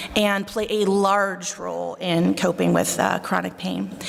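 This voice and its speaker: In a Buffalo accent, a woman speaks over noticeable background noise. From Buffalo, New York. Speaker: psychologist. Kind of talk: conference talk. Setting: stage with audience.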